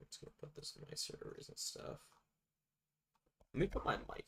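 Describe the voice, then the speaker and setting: A man is talking here. His pace is fairly quick. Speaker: streamer. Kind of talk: casual chat. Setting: live stream. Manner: low energy.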